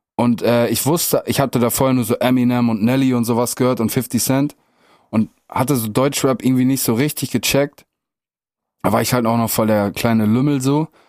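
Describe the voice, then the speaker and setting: The man has an ordinary speaking voice at medium pitch with fairly even intonation. His pace is fairly quick and his loudness very even. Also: very clean recording, silent background. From northwest Germany (Meppen, Emsland). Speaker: rapper. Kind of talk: casual chat.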